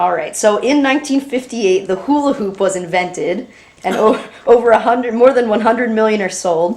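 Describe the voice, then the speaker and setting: Noticeable background noise sits behind a woman whose fairly high pitch moves with ordinary variation. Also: fairly quick pace. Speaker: interviewer, granddaughter. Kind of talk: interview questions.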